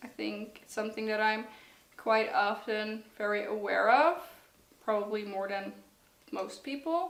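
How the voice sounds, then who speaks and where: Against noticeable background noise and audible room echo, a woman talks at a fairly slow pace with lively intonation and a fairly high pitch. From Netherlands. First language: Dutch. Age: 20s. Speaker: student. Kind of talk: personal testimony interview. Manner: hesitant, with fillers.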